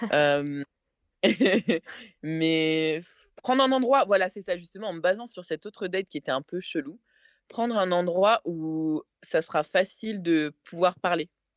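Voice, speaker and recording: A woman talks at a fairly low pitch with ordinary pitch variation and long, frequent pauses. The sound is dry and close with no echo. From France. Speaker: interview guest sharing dating story. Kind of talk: casual podcast chat. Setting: podcast. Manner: hesitant, many fillers.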